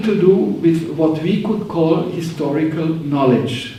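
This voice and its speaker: A man with a German accent speaks at a fairly slow pace and high pitch, with ordinary pitch variation. Audible room echo and noticeable background noise accompany him. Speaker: professor. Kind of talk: lecture. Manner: reading from manuscript.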